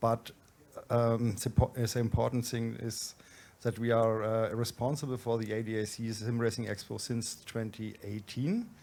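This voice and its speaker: A man speaks with a dark, mellow tone. His intonation is monotone and flat. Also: medium pitch for a man, moderate pace. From Germany, Franconia. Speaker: event organizer, managing director. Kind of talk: conference presentation.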